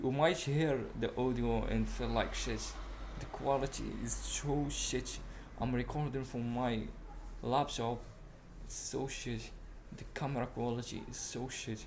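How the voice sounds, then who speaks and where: A man speaks at a fairly slow pace with a non-native accent, leaving long, frequent pauses. Audible room echo surrounds his voice. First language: not English. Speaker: self-improvement podcaster. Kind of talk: casual monologue. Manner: halting; animated. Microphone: laptop mic, poor audio quality.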